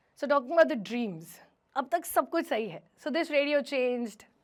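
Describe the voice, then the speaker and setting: A woman talks with lively intonation. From Himachal Pradesh, India. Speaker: radio jockey. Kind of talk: motivational stage talk.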